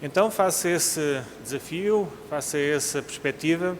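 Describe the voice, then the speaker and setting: A man speaks in a European Portuguese accent. His pitch varies in an ordinary way. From Portugal. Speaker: cardiologist, conference speaker. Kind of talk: conference lecture. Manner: formal.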